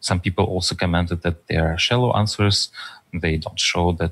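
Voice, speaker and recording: Here a man with a Russian accent speaks at a moderate pace in a very deep, low voice with fairly even intonation. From far east of Russia. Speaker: data scientist and author; podcast guest. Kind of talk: interview conversation. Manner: halting with many fillers. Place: home room. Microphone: headset.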